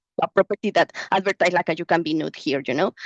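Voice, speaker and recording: The speaker has a Mexican accent and lively intonation. The sound is dry and close, with no echo. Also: woman. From Mexico. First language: Spanish. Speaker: researcher. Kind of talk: Q&A answer at an online conference. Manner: halting.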